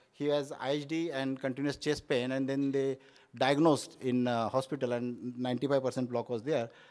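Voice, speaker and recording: Over a quiet background, a man speaks at a fairly quick pace with monotone, flat intonation. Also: medium pitch for a man. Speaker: Ayurvedic doctor. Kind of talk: conference talk. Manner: halting, many fillers.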